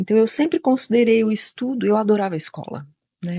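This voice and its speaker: Against a quiet background, a woman with a fairly high pitch and a dark, mellow tone speaks with ordinary pitch variation in a dry, close sound with no echo. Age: 60s. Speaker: occupational therapist. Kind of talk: interview conversation. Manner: hesitant, many fillers.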